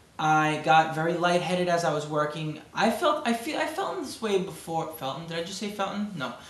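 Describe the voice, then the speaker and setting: In a Brooklyn accent, the speaker moves at a fairly quick pace with hardly any pauses and ordinary pitch variation. Room echo is audible, and there is noticeable background noise. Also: man, high pitch for a man. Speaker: amateur bodybuilder vlogger. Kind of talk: video diary. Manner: halting.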